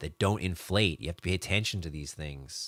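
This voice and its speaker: On a very clean recording with a silent background and a dry, close sound with no echo, a man speaks in a very deep, low pitch with an animated tone and ordinary pitch variation. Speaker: digital marketing consultant. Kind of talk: live stream talk. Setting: live video stream.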